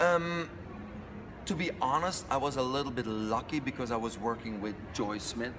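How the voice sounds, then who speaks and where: A man talks with a non-native accent. Noticeable background noise and audible room echo come through. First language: not English. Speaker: fitness instructor trainer. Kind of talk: interview. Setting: fitness convention.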